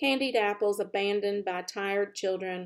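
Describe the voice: Pitch moves in an ordinary way. The delivery is plain reading aloud.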